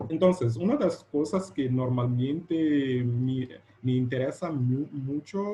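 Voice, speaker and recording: A man at medium pitch with a Portuguese accent, a very slow pace and ordinary pitch variation. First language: Portuguese (speaking Spanish). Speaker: educational technology researcher. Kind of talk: lecture. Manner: halting.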